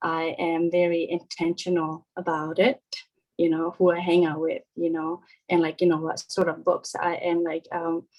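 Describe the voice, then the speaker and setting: In a Korean accent, a woman talks at a fairly low pitch with monotone, flat intonation. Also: moderate pace. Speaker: parent on panel. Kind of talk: panel discussion. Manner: halting.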